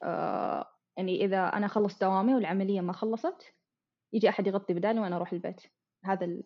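A woman's voice at medium pitch, with fairly even intonation. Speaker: anesthesia technologist in training. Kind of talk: casual chat.

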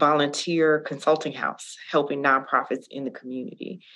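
A woman speaks with an American accent at a very deep, low pitch. Her delivery is moderate in pace and monotone, with a quiet background. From Gary, Indiana. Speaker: HR consultant. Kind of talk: interview.

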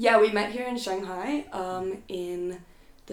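This woman has a New Jersey accent and a medium pitch. Her pitch variation is ordinary. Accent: American, New Jersey. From US Northeast, rural New Jersey. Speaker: musician and art teacher. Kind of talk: casual chat.

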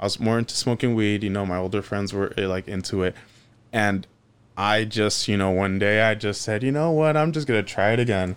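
A man speaks fairly quickly in a fairly low voice, an ordinary speaking voice with ordinary pitch variation. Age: 30s. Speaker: social media personality, mover posting fridge videos. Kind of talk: casual interview chat.

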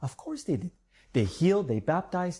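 This man's voice has a dark, mellow tone. The background is quiet. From Bulgaria. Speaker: preacher. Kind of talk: sermon.

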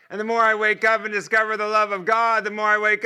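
Raised and projected, a man's high-pitched voice with an American accent has a bright, sharp tone and a very fast pace, on a very clean recording with a silent background. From United States. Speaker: guest preacher. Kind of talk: sermon. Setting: church. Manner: animated.

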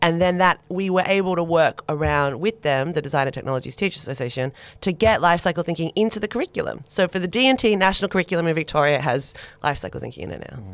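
A woman's fairly low-pitched voice in an Australian accent, with lively intonation at a very fast pace. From Australia (Sydney; born in Turkey per family move). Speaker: sustainability designer and sociologist. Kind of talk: casual interview chat. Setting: studio.

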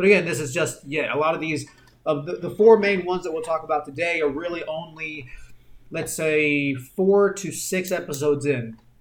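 A man talks at a moderate pace with ordinary pitch variation. His pitch sits fairly high, and there is noticeable background noise. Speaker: podcast co-host. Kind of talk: casual chat.

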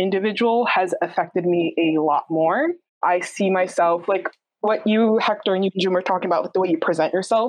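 Her pitch is medium, and this woman varies it in an ordinary way. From New York. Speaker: graduate student in speech pathology. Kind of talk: casual chat. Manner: quiet.

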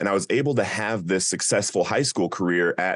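A man with an American accent and a very deep, low pitch speaks at a moderate pace. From US, Colorado (Littleton area). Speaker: recovery coach, former addict. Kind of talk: interview.

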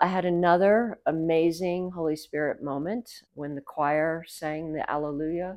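A woman talks in a plain, everyday voice. Her pitch is fairly low. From US South, Savannah, Georgia. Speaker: priest. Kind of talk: interview.

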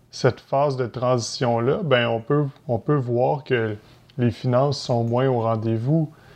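A man with a Quebec accent, medium pitch, fairly even intonation and a very slow pace, against a quiet background. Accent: Québécois French. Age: 30s. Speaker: entrepreneur and real estate investor. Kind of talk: podcast interview.

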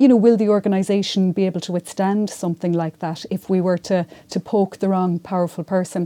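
Speaking fairly quickly in a Mayo accent, a woman with a dark, mellow tone keeps her intonation fairly even and hardly pauses, recorded very cleanly against a silent background with a dry, close sound and no echo. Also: medium pitch for a woman. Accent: Irish, Mayo. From Ireland, County Mayo. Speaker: local newspaper journalist. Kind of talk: panel discussion. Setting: university room.

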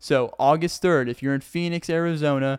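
A man with an American accent speaks at a moderate pace and a fairly high pitch with fairly even intonation, in a dry, close sound with no echo on a very clean recording with a silent background. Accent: Southern US, slight to moderate. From Arkansas, US South. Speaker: podcaster and stand-up comedian. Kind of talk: casual solo podcast monologue. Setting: sitting on the floor, video podcast. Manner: chatty, rambling, self-deprecating.

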